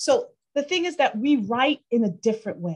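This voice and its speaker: A woman speaks at a moderate pace with very wide pitch swings. Her voice is somewhat breathy. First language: not English. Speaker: CPA exam tutor. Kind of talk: podcast interview. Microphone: muffled, paper on the microphone.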